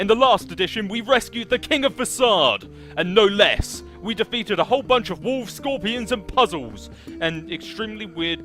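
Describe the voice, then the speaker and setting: Over music in the background, a man with a high pitch speaks at a moderate pace with lively intonation. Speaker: let's play gamer. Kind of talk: casual gameplay commentary.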